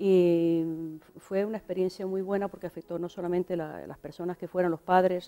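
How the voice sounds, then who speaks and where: A woman speaks at a moderate pace with hardly any pauses, her fairly low voice dark and mellow in tone, monotone and flat in intonation. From Venezuela, Galician parents. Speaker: pastor. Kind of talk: interview.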